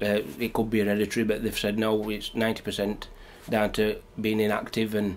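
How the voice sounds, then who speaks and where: With a Yorkshire accent, a man talks at medium pitch. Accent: Yorkshire (Barnsley). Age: 40s. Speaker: programme participant. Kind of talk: testimony.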